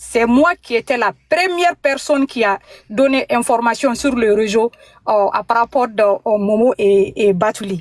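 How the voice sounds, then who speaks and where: In a dry, close sound with no echo, a woman with a fairly high pitch speaks at a fairly slow pace with lively intonation and very even loudness. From Mali. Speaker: caller. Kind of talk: phone call-in testimony. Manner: halting.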